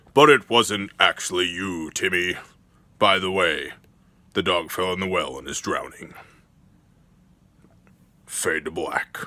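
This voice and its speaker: Using a put-on character voice, a man talks at a fairly slow pace with a raspy, very deep, low pitch and long, frequent pauses. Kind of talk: cinematic trailer-style narration. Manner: dramatic.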